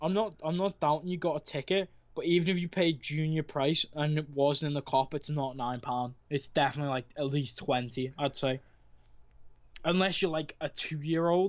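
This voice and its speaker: A man's fairly high voice in a Merseyside accent, with fairly even intonation. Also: moderate pace. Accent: Wirral. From Wirral, England (born in Liverpool). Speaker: caller. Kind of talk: casual chat.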